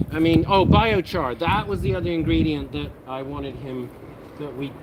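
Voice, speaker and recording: A man with an American accent talks at a moderate pace. Noticeable background noise runs underneath. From United Kingdom. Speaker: cannabis grow livestream host. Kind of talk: casual livestream chat. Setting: live stream. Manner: animated.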